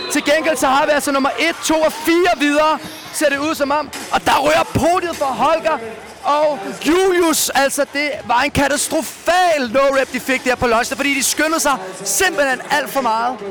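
Over noticeable background noise, a man speaks in an extremely high voice at a fairly slow pace, with an animated tone, ordinary pitch variation and very even loudness. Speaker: live commentator. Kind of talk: live commentary of a CrossFit final.

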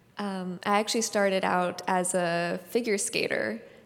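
Someone with a Californian accent speaks at a fairly slow pace. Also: woman. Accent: Californian American. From US West Coast (San Francisco Bay Area). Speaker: ballet dancer. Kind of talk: onstage interview. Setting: stage with live audience.

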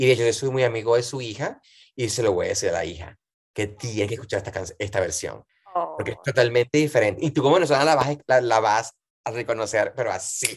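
Against a quiet background, a man talks very fast in a somewhat breathy voice at medium pitch with ordinary pitch variation. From Venezuela, Valencia region (Montalbán). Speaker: singer and cabaret performer. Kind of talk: casual interview.

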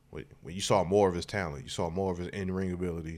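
A man with a very deep, low voice talks at a fairly quick pace with fairly even intonation. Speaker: podcast co-host, improviser. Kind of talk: casual chat. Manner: halting.

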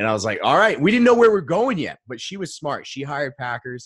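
Speaking at a very fast pace with lively intonation, a man with an American accent is heard in a dry, close sound with no echo. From Maine, US. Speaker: mindset coach. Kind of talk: interview. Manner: casual, filler-heavy.

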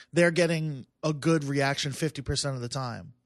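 With an American accent, a man at a fairly high pitch speaks at a moderate pace and ordinary pitch variation against a quiet background. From Long Island, New York. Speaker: stand-up comedian. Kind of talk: casual chat. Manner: calm.

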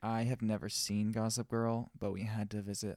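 Dry and close with no echo on a very clean recording with a silent background, a man speaks at a fairly slow pace and fairly low pitch. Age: young. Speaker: wedding photographer and podcast co-host. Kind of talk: casual chat. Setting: studio.

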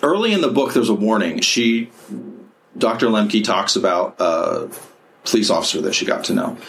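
A man at a moderate pace with very even loudness and long, frequent pauses, amid audible room echo and noticeable background noise. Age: 40s. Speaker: podcast host and counselor. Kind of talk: casual chat.

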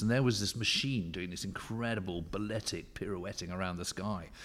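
A man at a fairly quick pace with ordinary pitch variation, on a very clean recording against a silent background. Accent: English. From England, rural. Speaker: historian and author. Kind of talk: interview. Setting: hotel boardroom. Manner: animated.

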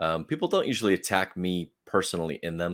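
A man with an American accent speaks at a very deep, low pitch. His pitch variation is ordinary. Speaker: podcast host. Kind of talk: interview about his podcast and life.

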